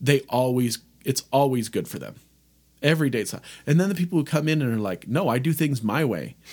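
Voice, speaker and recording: The man speaks at a fairly quick pace. His voice sits at a medium pitch with ordinary variation. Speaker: podcast co-host. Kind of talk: casual chat. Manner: loud.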